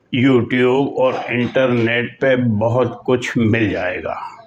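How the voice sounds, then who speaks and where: Through noticeable background noise, a man can be heard at a medium pitch. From Pakistan, Karachi. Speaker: vlogger and journalist. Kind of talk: storytelling vlog.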